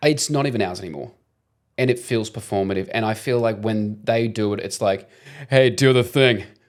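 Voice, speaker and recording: A man speaks with an Australian accent in an animated tone. His pitch is medium, his pace moderate and his pitch variation ordinary. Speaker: podcast co-host. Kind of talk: casual chat.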